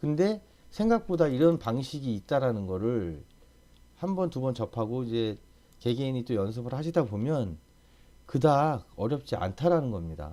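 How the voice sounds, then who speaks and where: A man at a medium pitch with a dark, mellow tone speaks at a moderate pace, making very wide pitch swings. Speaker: CAD instructor. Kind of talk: tutorial. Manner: casual.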